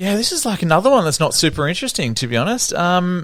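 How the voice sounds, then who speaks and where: Very wide pitch swings mark this man's high voice, delivered in an Australian accent on a very clean recording with a silent background. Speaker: cafe business owner. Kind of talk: casual interview chat. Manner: halting, many fillers and restarts.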